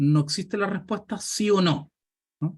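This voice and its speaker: A man with a Chilean accent at a moderate pace. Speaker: pension economist. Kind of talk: Q&A answer in online talk.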